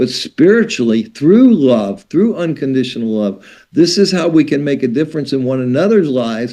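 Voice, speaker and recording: Speaking at a moderate pace with hardly any pauses, a man with an American accent has a dark, mellow tone and very wide pitch swings. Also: fairly high pitch for a man. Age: 60s. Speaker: spiritual teacher and author. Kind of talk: podcast interview. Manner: animated.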